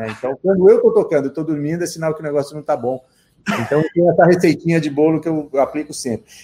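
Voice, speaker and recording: A fairly high, dark, mellow male voice at a very fast pace with ordinary pitch variation. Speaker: guitarist. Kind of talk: interview. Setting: live stream.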